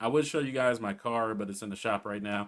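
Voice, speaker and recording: A fairly quick delivery with ordinary pitch variation, on a very clean recording with a silent background. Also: man. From Southern California. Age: 30s. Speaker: gaming YouTuber. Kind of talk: casual vlog talk. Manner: casual, with many fillers.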